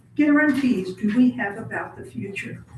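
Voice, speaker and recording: Noticeable background noise sits behind a woman with an American accent. She speaks at a moderate pace and a high pitch. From southern Indiana. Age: 80s+. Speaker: public commenter at county meeting. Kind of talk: public comment.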